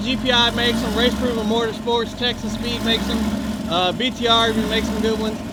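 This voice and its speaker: Over noticeable background noise and audible room echo, a man speaks at a very fast pace in a raised, projected voice with an extremely high pitch. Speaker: car enthusiast youtuber. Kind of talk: casual walkaround tutorial.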